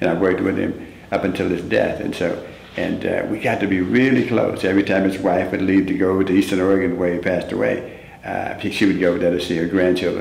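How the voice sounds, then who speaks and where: Over noticeable background noise and audible room echo, a man with a very deep, low pitch talks at a fairly quick pace with fairly even intonation. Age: 60s. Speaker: former track athlete. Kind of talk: interview. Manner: halting.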